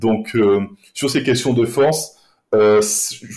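In a dark, mellow tone, a man speaks very slowly with lively intonation. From Caribbean. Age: 30s. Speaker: podcast guest. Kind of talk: interview. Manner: halting.

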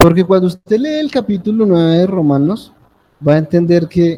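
A man's high-pitched voice moves with ordinary pitch variation. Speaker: preacher. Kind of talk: sermon. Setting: church with congregation. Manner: animated, interactive, calling for amens; conversational, informal, with humor.

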